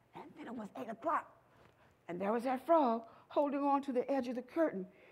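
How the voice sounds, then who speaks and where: The woman's delivery moves at a fairly quick pace. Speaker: storyteller. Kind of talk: animated storytelling performance. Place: shop.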